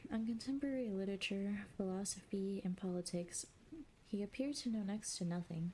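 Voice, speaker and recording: Speaking at a moderate pace, a woman with a medium pitch uses lively intonation in a calm, somewhat breathy tone. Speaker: streamer / ASMR reader. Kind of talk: ASMR audiobook reading of a classic novel. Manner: soft, calm reading voice.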